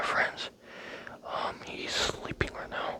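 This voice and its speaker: With noticeable background noise around it, a whisper moves at a fairly slow pace. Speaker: ASMR creator. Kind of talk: ASMR whispering chat. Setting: living room at home. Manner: whispering; halting.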